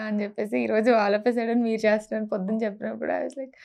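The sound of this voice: Her fairly high-pitched voice has a dark, mellow tone, and this woman keeps a fairly even intonation.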